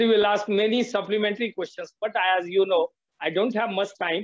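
A man with a high pitch talks at a fairly quick pace with fairly even intonation, the sound dry with no echo over a quiet background. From India. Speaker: political science teacher. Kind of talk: classroom seminar moderation. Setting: video call. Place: home room. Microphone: video call.

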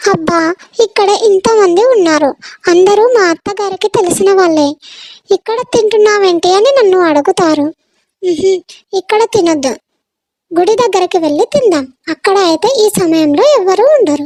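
Using a cartoonish character voice at an extremely high pitch, a woman speaks at a moderate pace with ordinary pitch variation and very even loudness. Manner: chatty, impulsive.

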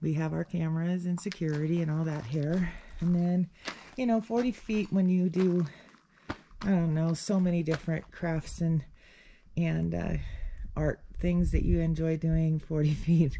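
A fairly slow delivery with long, frequent pauses over light background noise. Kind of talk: casual vlog chat. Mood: relaxed, light laughs. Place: open country. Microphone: phone near.

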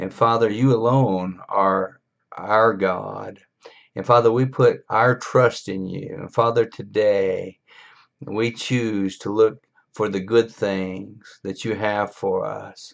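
Fairly even intonation carries the very slow delivery. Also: man, fairly low pitch for a man, quiet background. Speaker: pastor. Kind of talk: short devotional sermon with prayer. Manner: earnest, exhortative, encouraging; rhetorical, preacher-style delivery. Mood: earnest, encouraging. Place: home room. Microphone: webcam.

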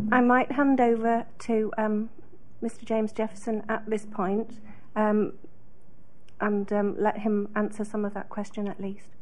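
The speaker moves at a fairly slow pace with long, frequent pauses. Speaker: council staff officer. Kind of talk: formal procedural explanation. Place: meeting room. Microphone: podium.

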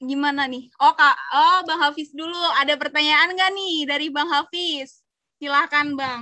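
A woman's raised, projected voice, high-pitched with a bright, sharp tone, fairly even intonation, big swings in loudness and a fairly slow pace, over a quiet background. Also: dry sound with no echo. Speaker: event moderator. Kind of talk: moderating. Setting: video call. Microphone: video call.

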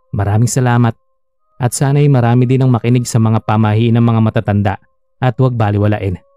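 With music in the background, a man of medium pitch speaks at a very fast pace in a dry, close sound with no echo. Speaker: storyteller reading a listener-submitted story. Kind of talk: ghost story telling, first-person scary narration read aloud.

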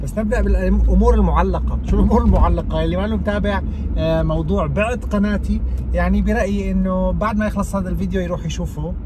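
Over noticeable background noise, a man speaks quickly in a very deep, low voice with fairly even intonation and a dry sound with no echo. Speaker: youtuber. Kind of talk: casual vlog chat. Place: car. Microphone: phone near.

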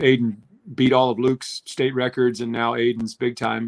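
The speaker is a man with a medium pitch. He talks at a fairly quick pace against a quiet background. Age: 50s. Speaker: former Olympic swimmer; guest. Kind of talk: live sports commentary chat. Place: home room.

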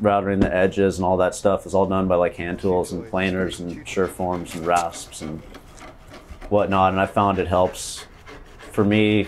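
Over light background noise, a man talks at a moderate pace in a very deep, low pitch with monotone, flat intonation. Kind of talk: interview answer. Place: garage. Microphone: lapel.

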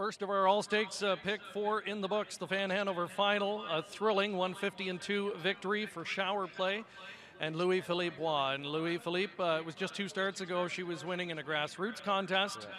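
Raising and projecting his voice, a man speaks at a high pitch and a moderate pace with fairly even intonation. The sound is dry with no echo, though noticeable background noise is present. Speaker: sports interviewer. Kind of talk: post-race interview. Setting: racetrack. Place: stadium. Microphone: handheld.

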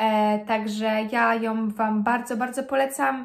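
The background stays quiet. A woman talks with fairly even intonation. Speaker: book vlogger. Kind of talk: casual vlog chat. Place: home room. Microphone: phone near.

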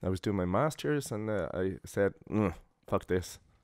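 A man with an Irish accent speaks at a moderate pace with a very deep, low pitch and lively intonation. The recording is very clean, dry and close, with a silent background and no echo. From Ireland. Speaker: podcast guest, opera singer. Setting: recorded at his home.

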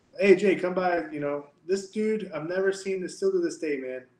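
Man with an American accent, with audible room echo. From Texas, Amarillo; Texas. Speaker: jiu-jitsu instructor. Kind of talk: casual interview. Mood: animated, storytelling. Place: office. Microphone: webcam.

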